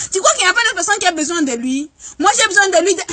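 In a raised, projected voice of extremely high pitch, a woman speaks with lively intonation over a quiet background. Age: 20s. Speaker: vlogger. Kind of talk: comic monologue. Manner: animated. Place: street. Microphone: phone near.

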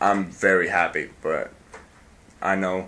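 A man at a fairly low pitch and a very slow pace. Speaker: vlogger. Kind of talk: casual vlog chat. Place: home room. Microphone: phone near.

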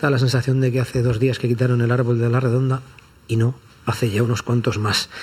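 A man speaks at a fairly quick pace with little pitch movement, his tone slightly mellow with a slightly husky edge. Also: medium pitch for a man.

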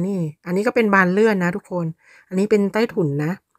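A woman speaks with ordinary pitch variation. The sound is dry with no echo, over a quiet background. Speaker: vlogger. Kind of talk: casual vlog chat. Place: garden. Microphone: phone near.

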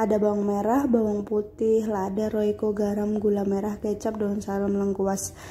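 This woman's voice is somewhat breathy, with a dark, mellow tone, medium pitch, a moderate pace, monotone, flat intonation and hardly any pauses. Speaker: cooking vlogger. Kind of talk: cooking tutorial. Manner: casual, chatty.

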